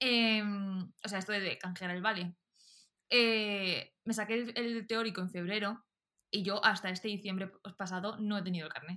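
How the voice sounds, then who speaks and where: A woman talks rather slowly. Her delivery is monotone and flat. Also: medium pitch for a woman. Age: 20s. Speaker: podcast co-host. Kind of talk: casual chat.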